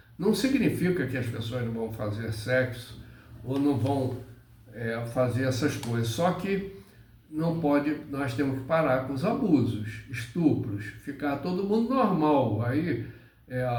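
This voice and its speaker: Speaking at a very slow pace, a man with a medium-pitched voice uses lively intonation, and the room echo is audible. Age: 70s. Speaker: spiritual teacher. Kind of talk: spiritual monologue. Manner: halting.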